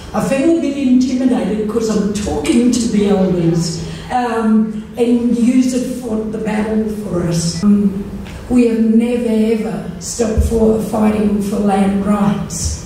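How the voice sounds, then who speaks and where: In a room with strong echo and light background noise, a woman speaks at a very slow pace with ordinary pitch variation. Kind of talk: speech. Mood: earnest, heartfelt. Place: hall.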